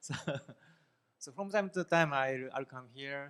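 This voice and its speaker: A man with a Japanese accent speaks with ordinary pitch variation. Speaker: professor. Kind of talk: lecture. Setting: classroom.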